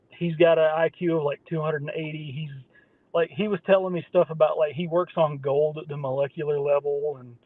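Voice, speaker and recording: Loudness swings widely as a man with an Appalachian accent talks at a fairly high pitch. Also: fairly quick pace. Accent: Appalachian Southern American. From US South, southwest Virginia. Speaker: podcast host. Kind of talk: casual chat. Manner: animated.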